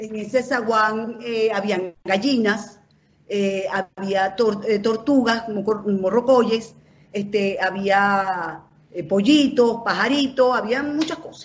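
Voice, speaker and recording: A woman with a fairly high pitch and ordinary pitch variation speaks at a very slow pace, her loudness swinging widely. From Venezuela, Caracas. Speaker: journalist. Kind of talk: casual chat.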